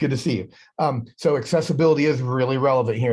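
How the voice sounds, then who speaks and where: Somewhat breathy, a man speaks at a fairly quick pace against a quiet background. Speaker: educational technology trainer. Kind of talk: online workshop presentation. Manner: fast; halting with repeated words. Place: office. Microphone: webcam.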